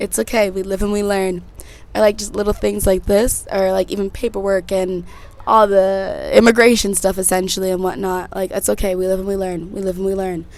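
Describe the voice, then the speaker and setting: Noticeable background noise sits behind a woman with an American accent who talks at a fairly quick pace and a medium pitch. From Connecticut and Texas, US. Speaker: podcast host. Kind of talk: casual chat. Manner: animated.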